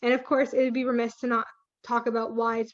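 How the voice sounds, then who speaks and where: A woman speaks with a Canadian accent. Her voice is fairly high. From Canada, Toronto (Etobicoke). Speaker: urban farmer. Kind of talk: presentation. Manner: casual, with frequent fillers.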